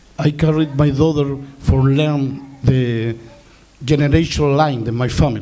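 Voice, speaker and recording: Here a man speaks at a fairly slow pace and a fairly high pitch, with fairly even intonation and very even loudness. Audible room echo and noticeable background noise surround him. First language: Rapa Nui. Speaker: filmmaker. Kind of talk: panel talk. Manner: halting.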